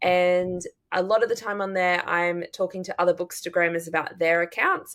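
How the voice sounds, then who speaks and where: A woman with an Australian accent, fairly low in pitch, monotone and flat, at a moderate pace. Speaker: drama teacher and book podcaster. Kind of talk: casual chat.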